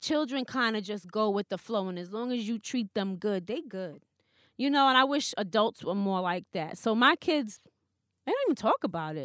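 A woman with a New York accent speaks at a moderate pace, fairly high in pitch and with lively intonation. The recording is very clean, with a silent background and dry, close sound with no echo. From New York (Queens). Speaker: radio personality. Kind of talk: casual chat.

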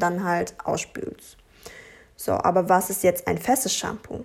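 This woman speaks with fairly even intonation. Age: 20s. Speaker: podcast host and blogger. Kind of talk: solo podcast, reading from notes. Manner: hesitant with fillers.

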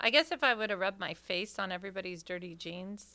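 Bright and sharp in tone, a woman speaks at a fairly quick pace with a medium pitch. The recording is very clean, with a silent background. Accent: American. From Ohio. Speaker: comedian and podcast co-host. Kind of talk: casual chat.

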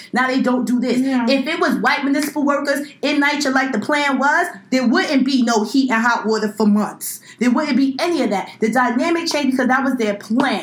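A woman with an American accent speaks in a high pitch and an animated tone, with ordinary pitch variation, hardly any pauses, and very even loudness, amid noticeable background noise and audible room echo. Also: fairly quick pace. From Brooklyn, New York. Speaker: podcast co-host, law student. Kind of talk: casual chat.

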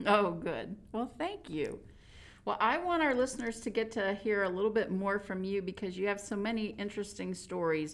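This is an ordinary speaking voice at a moderate pace. The pitch varies in an ordinary way. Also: woman, medium pitch for a woman. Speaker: co-host, communications director. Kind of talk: podcast hosting, interviewer. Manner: warm, upbeat.

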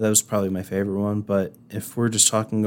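Over a very clean recording with a silent background, a man with a Midwestern American accent speaks at a fairly low pitch. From Indiana. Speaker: TV meteorologist. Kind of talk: casual interview.

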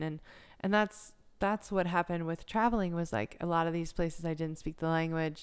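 Recorded very cleanly against a silent background, a woman with a normal speaking voice talks at a fairly low pitch with fairly even intonation. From US South, South Carolina coast. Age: 30s. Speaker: yoga instructor. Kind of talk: interview conversation. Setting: recording in Myrtle Beach, South Carolina.

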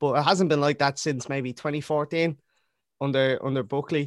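A man with a Dublin accent speaks at a moderate pace. His intonation is fairly even, and the sound is dry and close with no echo. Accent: Dublin Irish. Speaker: rapper and football fan. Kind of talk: casual chat. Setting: video call.

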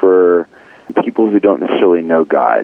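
A man talks at a fairly quick pace. Noticeable background noise can be heard. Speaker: singer-songwriter. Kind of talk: interview.

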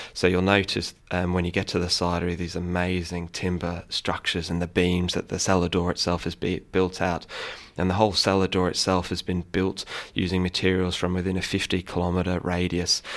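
A man's very deep, low, monotone voice with flat intonation and a slight English accent, at a fairly quick pace, in a very clean recording with a silent background. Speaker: cider maker. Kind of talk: radio interview. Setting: studio.

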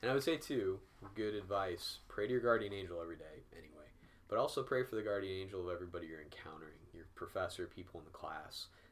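A man with an American accent talks at a very fast pace with big swings in loudness. Audible room echo surrounds his voice. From US Midwest, Peoria, Illinois. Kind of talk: Q&A answers in recorded video. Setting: video recording at a church.

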